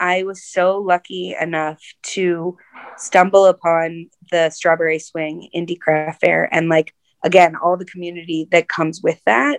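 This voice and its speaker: Here is an ordinary speaking voice from a woman, fairly low in pitch and fairly even in intonation. She goes at a fairly slow pace in a dry, close sound with no echo. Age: 40s. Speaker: nonprofit director. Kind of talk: interview conversation. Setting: video call.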